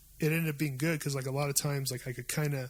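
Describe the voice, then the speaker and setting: In a monotone, flat intonation, a man with a fairly high pitch sounds somewhat breathy. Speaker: podcast host. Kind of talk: casual chat. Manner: fast.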